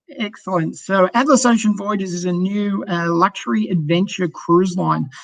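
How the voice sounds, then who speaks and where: A man with an Australian accent speaks at a high pitch. His pace is moderate, with ordinary pitch variation. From Australia, Sydney. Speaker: cruise line sales director. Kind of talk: sales presentation.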